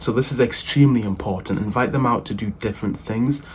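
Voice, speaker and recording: Lively intonation from a man at medium pitch and moderate pace, with noticeable background noise. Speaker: self-improvement youtuber. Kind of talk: casual advice talk.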